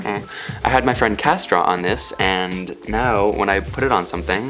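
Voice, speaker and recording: This speaker has an American accent. He talks with music in the background. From San Francisco. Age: 20s. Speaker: YouTuber. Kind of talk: tutorial. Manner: animated.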